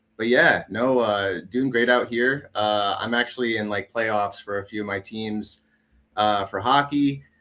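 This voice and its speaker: With a Wisconsin accent, a man of medium pitch talks at a fairly slow pace in a bright, sharp tone with fairly even intonation. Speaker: returning guest, amateur hockey player. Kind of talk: casual chat. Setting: online stream.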